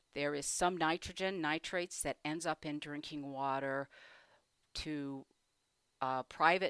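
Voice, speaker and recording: A woman with an American accent speaks at a fairly slow pace with a very deep, low pitch and fairly even intonation. The sound is dry and close with no echo, in a very clean recording with a silent background. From Michigan, US Midwest. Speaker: economics professor. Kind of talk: interview.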